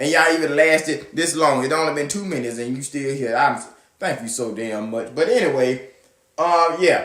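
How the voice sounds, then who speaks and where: Speaking in a Southern US accent, a man with a fairly high pitch sounds animated at a moderate pace with ordinary pitch variation, and audible room echo surrounds him. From US South. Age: 20s. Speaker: podcast host. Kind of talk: casual monologue.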